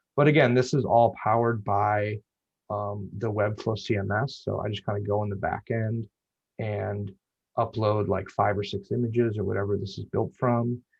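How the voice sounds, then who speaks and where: A man's somewhat breathy voice comes across with monotone, flat intonation. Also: fairly low pitch for a man. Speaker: web designer. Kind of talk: meetup presentation. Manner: fast; casual, filler-heavy.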